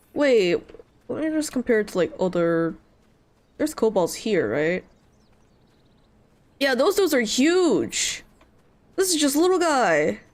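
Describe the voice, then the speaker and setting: With a high pitch, very wide pitch swings and an animated tone, a woman speaks at a fairly slow pace broken by long, frequent pauses. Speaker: VTuber streamer. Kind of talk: gameplay livestream. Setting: livestream.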